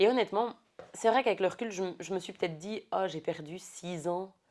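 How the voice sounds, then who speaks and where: Recorded very cleanly over a silent background, a woman speaks at medium pitch and a moderate pace with ordinary pitch variation. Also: long, frequent pauses. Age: 30s. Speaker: podcast guest. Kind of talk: casual chat.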